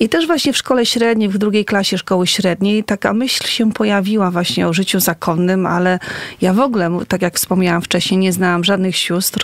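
A woman speaks at medium pitch and a moderate pace. Noticeable background noise sits behind her. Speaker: nun. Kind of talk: casual interview chat. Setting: radio studio.

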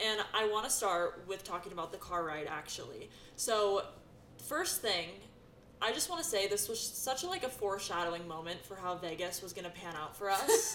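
A woman's mid-range voice moves at a moderate speed with ordinary pitch variation, and background noise is clearly present. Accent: American. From US West, Sacramento area. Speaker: esthetician and instructor, podcast co-host. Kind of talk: casual chat. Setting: studio.

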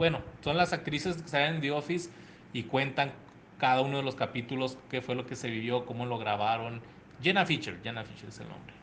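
A man talks fairly quickly in an ordinary speaking voice of medium pitch, with ordinary pitch variation and big swings in loudness. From El Paso, Texas border region. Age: 30s. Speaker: actor and podcaster. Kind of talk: recorded interview answers.

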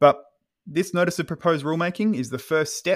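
A man with an Australian accent talks at a very fast pace. The recording is very clean, with a silent background. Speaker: space lawyer, podcast co-host. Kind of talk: casual explanatory chat.

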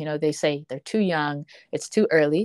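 A woman with an unremarkable speaking voice talks at a moderate pace with ordinary pitch variation. The background is quiet, and the sound is dry and close with no echo. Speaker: nonprofit founder. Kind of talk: interview conversation.

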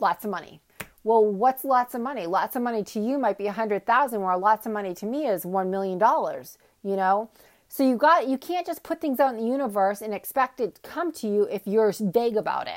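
A woman talks with lively intonation at a fairly high pitch. It is an ordinary speaking voice, delivered at a fairly quick pace. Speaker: health and life coach, solo podcaster. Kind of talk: casual monologue. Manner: many filler ums.

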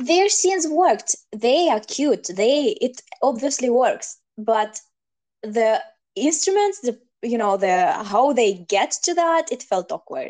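A non-native accent with very wide pitch swings at a very slow pace. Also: woman, high pitch for a woman. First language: not English. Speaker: podcast co-host. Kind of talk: casual discussion.

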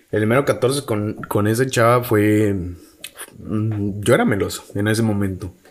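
A man with a Mexican accent speaks at a fairly slow pace, his fairly low pitch held in a fairly even intonation. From Mexico, outside Mexico City. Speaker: podcast co-host. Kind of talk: casual chat.

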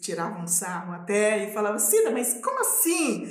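Fairly slow speech with audible room echo and noticeable background noise. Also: woman. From Minas Gerais, Brazil (rural north, raised in Belo Horizonte). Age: 40s. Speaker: quilombola activist. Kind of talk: casual interview conversation.

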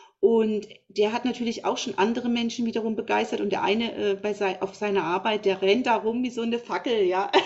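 A woman's ordinary speaking voice, fairly high in pitch and fairly quick, with fairly even intonation. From Thuringia, Germany. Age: 50s. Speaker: naturopath. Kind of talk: interview.

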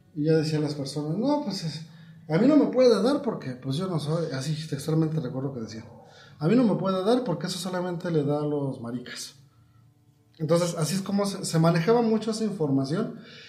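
A high-pitched man at a fairly quick pace, lively intonation, noticeable background noise and audible room echo. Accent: Mexican. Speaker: podcast co-host. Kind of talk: casual chat.

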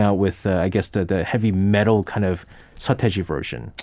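Speaking at a moderate pace, a man talks in a New York accent. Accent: New York American English. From US, New York. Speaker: radio host. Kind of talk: casual chat. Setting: studio.

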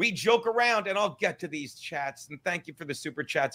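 A man's bright, sharp voice at a very fast pace with lively intonation, on a very clean recording with a silent background. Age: 50s. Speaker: radio show host. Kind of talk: casual chat.

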